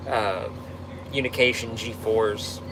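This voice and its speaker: A man with a Texan accent talks over noticeable background noise. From Texas. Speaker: tow truck operator. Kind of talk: live stream Q&A reading comments. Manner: casual, halting with fillers.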